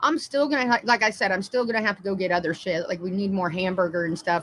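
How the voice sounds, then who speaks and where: A woman with a plain, everyday voice at medium pitch and a fairly quick pace. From Indiana, US Midwest. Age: 30s. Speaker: livestreamer. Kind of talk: casual live-stream chat. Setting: live stream.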